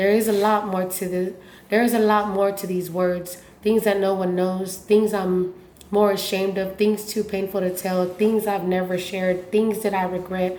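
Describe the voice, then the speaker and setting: The delivery is monotone and flat at a moderate pace. Audible room echo surrounds the voice. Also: woman, medium pitch for a woman. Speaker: recovering addict and former prisoner. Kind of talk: casual vlog talk; reading own poem aloud.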